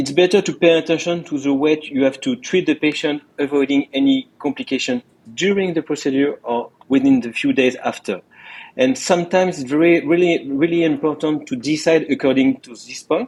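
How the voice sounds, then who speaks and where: In a French accent, the speaker moves at a fairly quick pace, with ordinary pitch variation and big swings in loudness. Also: man, fairly high pitch for a man. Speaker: interventional cardiologist. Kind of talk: interview. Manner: halting, many repetitions.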